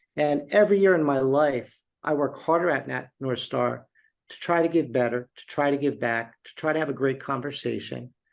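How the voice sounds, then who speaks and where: In a plain, everyday voice, a man speaks at a moderate pace with a fairly high pitch and ordinary pitch variation. His loudness swings widely against a quiet background. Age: 60s. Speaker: beverage company CEO. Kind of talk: interview.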